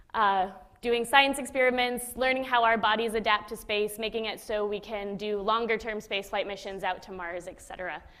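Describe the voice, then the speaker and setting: With an American accent, a woman talks at a fairly high pitch in fairly even intonation, her loudness swinging widely. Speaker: former space flight controller giving a public talk. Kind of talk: public lecture. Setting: stage with live audience. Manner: fast at times; casual, conversational.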